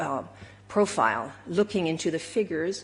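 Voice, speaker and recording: At a moderate pace, a woman talks in a somewhat breathy voice with fairly low pitch. Her pitch varies in an ordinary way. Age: 60s. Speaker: member of the public. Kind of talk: public meeting statement. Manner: halting, many repetitions.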